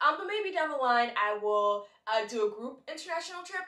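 Audible room echo surrounds the voice. The background is quiet. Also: woman. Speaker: travel vlogger. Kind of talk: casual vlog chat. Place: home room.

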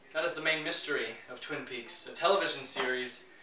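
Over noticeable background noise, a man speaks at a fairly quick pace with ordinary pitch variation. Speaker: sketch actor presenting. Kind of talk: comedic scripted monologue. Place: home room.

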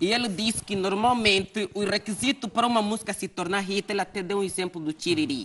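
A very fast delivery with hardly any pauses. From Angola. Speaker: talk show host. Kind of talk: interview. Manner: animated. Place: studio.

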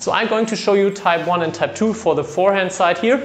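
A man speaks with ordinary pitch variation. Faint music plays in the background. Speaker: badminton coach. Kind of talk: tutorial. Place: empty room. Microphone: camera far.

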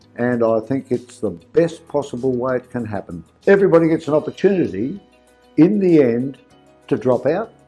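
A man speaks at a medium pitch over faint background music. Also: moderate pace. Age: 80s+. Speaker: home seller. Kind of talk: testimonial interview answer. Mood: pleased, approving. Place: office.

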